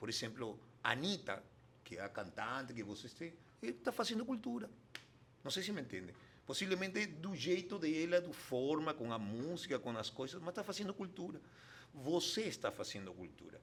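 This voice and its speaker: The voice has a Spanish accent, vocal fry and very wide pitch swings, at a moderate pace. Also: man, fairly high pitch for a man. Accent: Spanish-speaker accent in Portuguese. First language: Spanish (speaking Portuguese). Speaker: international development consultant. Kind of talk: interview conversation. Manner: halting.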